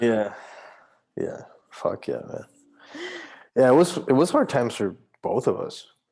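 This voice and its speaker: With a Spanish accent, a man talks at a fairly slow pace, leaving long, frequent pauses. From Mexico. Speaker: artist, podcast guest. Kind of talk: casual chat.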